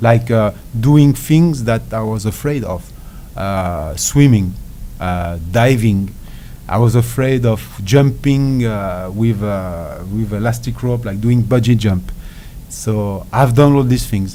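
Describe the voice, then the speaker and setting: A man with a French accent, fairly low in pitch and very slow, with ordinary pitch variation, audible room echo and noticeable background noise. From France. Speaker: ultra endurance athlete. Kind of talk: interview. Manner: halting.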